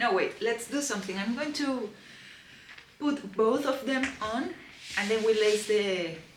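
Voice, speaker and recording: A woman with a Spanish accent speaks at a fairly high pitch, pausing long and often, with noticeable background noise and audible room echo. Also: ordinary pitch variation, fairly slow pace. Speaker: lifestyle vlogger. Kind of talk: unboxing vlog. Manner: animated.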